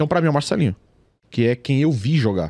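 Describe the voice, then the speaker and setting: The voice moves through very wide pitch swings, with a dry, close sound and no echo. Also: man. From São Paulo East Zone, Brazil. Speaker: YouTuber, football fan channel creator. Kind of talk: casual chat. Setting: studio.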